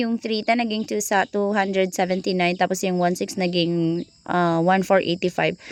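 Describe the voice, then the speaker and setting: A woman speaks loudly in an animated tone. Her pace is moderate. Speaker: vlogger. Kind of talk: vlog narration. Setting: shopping mall.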